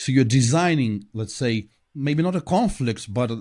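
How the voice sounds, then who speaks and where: A man with a non-native accent speaks at a moderate pace and medium pitch. His intonation is lively, and the background is quiet. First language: not English. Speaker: podcast co-host. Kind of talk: casual chat.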